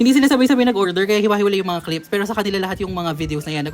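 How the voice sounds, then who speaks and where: Someone with a Pampanga accent talks at a very fast pace. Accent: Kapampangan-tinged Tagalog. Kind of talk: casual, vlog-style.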